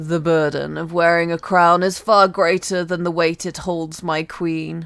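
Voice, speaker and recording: Middle pitch and moderate pace in a put-on character voice. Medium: read story. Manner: tired, tender.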